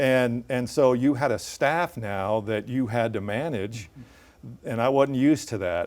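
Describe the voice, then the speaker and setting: A man with a Midwestern US accent speaks at a fairly slow pace. His pitch is medium, with ordinary variation. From central Illinois. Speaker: TV news anchor. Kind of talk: interview.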